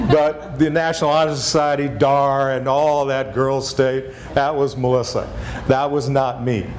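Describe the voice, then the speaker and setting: With a Texas accent, a man talks at a fairly slow pace with a fairly high pitch and monotone, flat intonation, amid audible room echo and noticeable background noise. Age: 60s. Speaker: former national park superintendent. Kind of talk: lecture.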